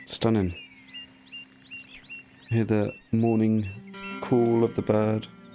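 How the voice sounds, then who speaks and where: A man at a medium pitch speaks very slowly in a gentle, relaxed tone, with fairly even intonation, long and frequent pauses, and music playing in the background. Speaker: gaming commentator; actor, yoga teacher. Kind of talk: relaxing sleep gameplay commentary.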